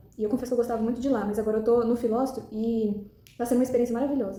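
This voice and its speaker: The speech comes very fast with fairly even intonation, and audible room echo surrounds it. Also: woman. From Brazil, Goiás. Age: 20s. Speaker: medical student. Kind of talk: recorded self-presentation. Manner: hesitant, many fillers.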